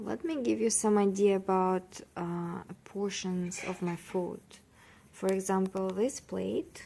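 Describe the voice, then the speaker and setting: In a non-native accent, a woman speaks very slowly at a medium pitch. Her tone is dark and mellow, with ordinary pitch variation. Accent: non-native English, drops parts of words. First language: not English. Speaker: vlogger. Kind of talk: casual vlog talk. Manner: halting, many fillers.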